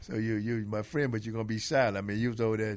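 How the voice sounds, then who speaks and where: A man against noticeable background noise. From Mississippi. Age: 70s. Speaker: radio host. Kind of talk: casual chat. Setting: studio. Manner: animated.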